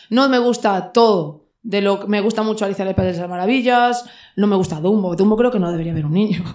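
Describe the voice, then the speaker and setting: Very fast speech from a woman at medium pitch, with ordinary pitch variation. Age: 30s. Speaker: shop owner and patch designer. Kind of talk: casual chat.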